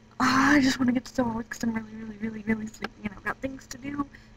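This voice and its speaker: Amid noticeable background noise, a woman speaks very fast. Her fairly high voice has monotone, flat intonation. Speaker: vlogger. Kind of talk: casual talk to camera.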